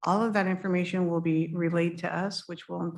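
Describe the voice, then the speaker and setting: Delivery is very fast, with fairly even intonation. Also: woman. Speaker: state agency official. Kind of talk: public meeting briefing.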